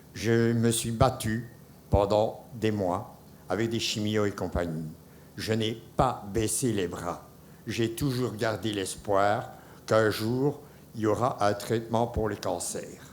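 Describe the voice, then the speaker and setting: A man speaks at a very slow pace in a fairly low pitch, with fairly even intonation. Room echo is audible. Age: 70s. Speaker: cancer survivor. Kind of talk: testimony. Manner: halting.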